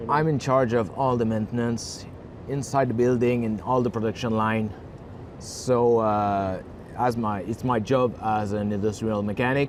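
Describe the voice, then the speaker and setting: This man has a Quebec accent. He talks at a fairly slow pace with fairly even intonation. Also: medium pitch for a man. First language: French. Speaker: industrial mechanic and online entrepreneur. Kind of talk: interview.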